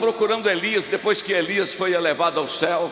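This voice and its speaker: A man speaks in a raised, projected voice with an animated tone at a fairly quick pace over noticeable background noise. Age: 60s. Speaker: pastor. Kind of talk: sermon.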